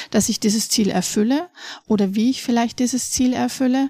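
Somewhat breathy, a woman speaks at a fairly quick pace with ordinary pitch variation. The sound is dry and close, with no echo. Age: 40s. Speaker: educational coach for families. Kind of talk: interview. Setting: studio.

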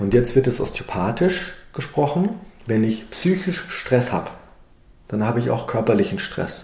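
A man's medium-pitched voice with lively intonation and audible room echo. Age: 50s. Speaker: osteopath and naturopath. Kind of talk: interview. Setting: in his practice.

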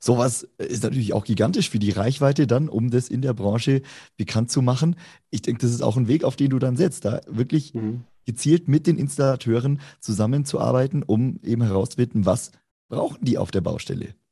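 Against a quiet background, a man speaks fairly quickly at a medium pitch, somewhat breathy and dark, mellow in tone, with ordinary pitch variation. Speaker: co-host. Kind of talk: interview.

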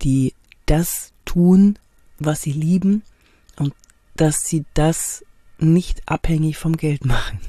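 Recorded dry and close with no echo, a woman speaks at a very deep, low pitch in a dark, mellow, somewhat breathy tone with ordinary pitch variation. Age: 50s. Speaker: body language trainer and actress. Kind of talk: podcast monologue rant. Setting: in a camper van.

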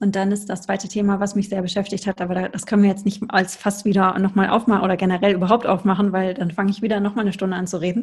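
Somewhat breathy and monotone, with flat intonation, a woman at medium pitch speaks at a very fast pace. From Ruhr area, Germany. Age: 40s. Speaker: tantra yoga teacher. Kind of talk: interview.

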